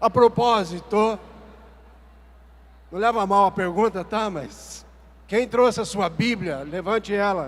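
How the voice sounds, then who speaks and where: Speech comes at a very slow pace with long, frequent pauses. Pitch variation is ordinary. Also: man, high pitch for a man. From southern Brazil, Paraná (Cascavel). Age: 60s. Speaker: lay preacher. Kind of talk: sermon. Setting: stage with audience. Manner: animated.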